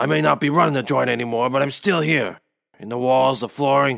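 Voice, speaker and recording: This man puts on a character voice. His pitch sits in the middle range and his pace is moderate. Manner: bitter, wry, grieving.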